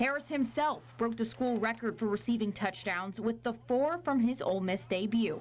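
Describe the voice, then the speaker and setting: A woman with an American accent talks at a moderate pace with hardly any pauses, very even loudness and ordinary pitch variation. Hers is an unremarkable speaking voice, fairly high in pitch. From US South, Nashville. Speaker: sports reporter. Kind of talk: scripted narration.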